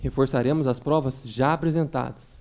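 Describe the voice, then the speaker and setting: A man is speaking. His pace is fairly slow. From São Paulo state, Campinas. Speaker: prosecutor. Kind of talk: courtroom closing argument to jury. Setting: courtroom jury trial. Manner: formal.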